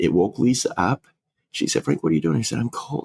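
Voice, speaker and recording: A man's fairly low voice, full of vocal fry, makes very wide pitch swings in a dry, close recording with no echo. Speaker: funeral director, podcast co-host. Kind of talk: casual chat. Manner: breathing heavy.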